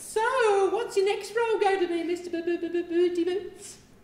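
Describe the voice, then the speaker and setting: In a put-on character voice, a woman squeaks at an extremely high pitch with monotone, flat intonation and a fairly quick pace, with a clear echo. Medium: stage play.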